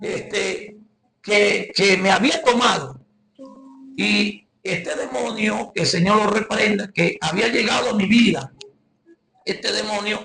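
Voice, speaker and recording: Very slowly and with long, frequent pauses, a man with a Venezuelan accent speaks in a raised, projected voice at a high pitch, with ordinary pitch variation. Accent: Guárico Venezuelan accent, noticeable. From Venezuela, Guárico. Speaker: evangelist preacher. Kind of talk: testimony.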